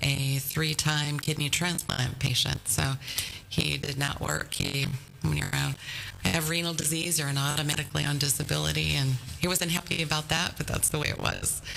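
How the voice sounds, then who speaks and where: Over noticeable background noise, a woman with a Michigan accent speaks at a moderate pace and very even loudness. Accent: Upper Midwest US (Michigan). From Whitehall, west Michigan. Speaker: victim services worker. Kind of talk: casual interview.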